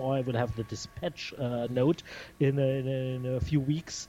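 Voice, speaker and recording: A man talks at a fairly slow pace with music playing in the background. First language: not English. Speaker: record label founder. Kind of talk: interview. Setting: Skype call. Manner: halting.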